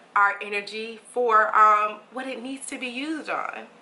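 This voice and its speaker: Noticeable background noise surrounds a woman's fairly high voice. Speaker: meditation guide and life coach. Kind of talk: casual book reading and reflection to camera. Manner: gentle, soft-spoken.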